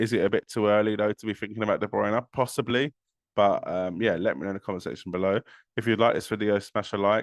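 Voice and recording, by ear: In a croaky, put-on character voice, a man speaks at a very fast pace with a fairly low pitch and fairly even intonation.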